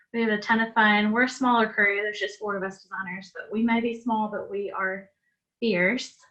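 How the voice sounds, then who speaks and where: Bright and sharp in tone, a woman speaks at a fairly quick pace with fairly even intonation. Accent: Southern US. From US South, south Georgia. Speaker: interior designer presenting. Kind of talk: presentation / webinar talk.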